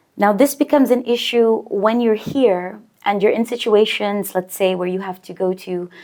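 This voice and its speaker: A woman speaks in an unremarkable speaking voice at a fairly high pitch. Her pace is moderate, with ordinary pitch variation. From Bahrain, Omani-American family. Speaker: banker, podcast guest. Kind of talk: casual interview.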